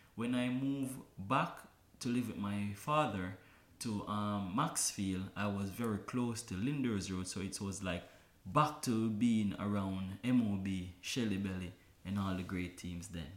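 Heard with audible room echo, a man with a fairly low voice talks at a fairly slow pace with ordinary pitch variation. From Kingston, Jamaica. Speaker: dancer. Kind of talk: interview.

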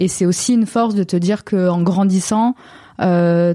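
A woman speaks at a medium pitch with fairly even intonation and a dark, mellow tone. The recording is very clean, with a silent background. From southern France, Montpellier area. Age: 20s. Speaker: painter. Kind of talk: interview.

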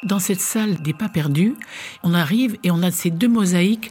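Noticeable background noise is present. Over it, a woman talks at a moderate pace. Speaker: tour guide. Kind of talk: guided tour description. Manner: hesitant, with fillers and repetitions.

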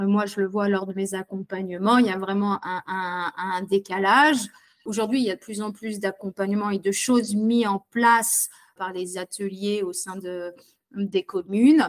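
Her delivery is fairly slow, with fairly even intonation at a medium pitch. The woman's sound is dry and close, with no echo. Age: 30s. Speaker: digital skills coach for seniors, former care assistant. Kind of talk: interview testimony. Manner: hesitant, many fillers.

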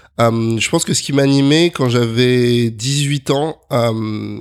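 A man's medium-pitched voice, an ordinary speaking voice. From Paris region, France (Neuilly). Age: 30s. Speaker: agency founder and CEO. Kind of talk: interview.

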